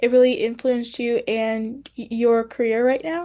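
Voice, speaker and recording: Someone speaks at a fairly slow pace over a quiet background. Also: woman. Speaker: podcast founder and host. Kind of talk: podcast host talk.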